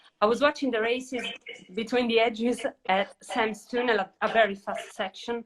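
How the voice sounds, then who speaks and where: Speaking at a moderate pace with an Italian accent, a woman uses a fairly high pitch and fairly even intonation. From Italy. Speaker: interviewer. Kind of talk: casual interview. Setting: social media live video.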